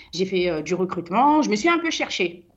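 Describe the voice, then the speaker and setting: A woman speaks at a moderate pace. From Paris suburbs (Seine-Saint-Denis), born in French Guiana. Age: 30s. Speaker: business founder. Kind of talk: radio interview. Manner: hesitant.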